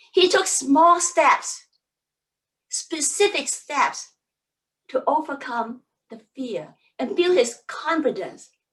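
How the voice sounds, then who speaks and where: The voice moves very slowly, with very wide pitch swings, big swings in loudness and long, frequent pauses. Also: woman, high pitch for a woman. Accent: Cantonese. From Hong Kong. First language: Cantonese. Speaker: public speaking coach. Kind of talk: seminar talk.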